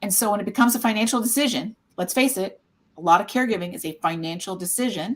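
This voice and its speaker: A woman's somewhat breathy, medium-pitched voice in an American accent, at a very fast pace, with ordinary pitch variation and big swings in loudness. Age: 60s. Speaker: caregiver support nonprofit founder. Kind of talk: casual panel discussion.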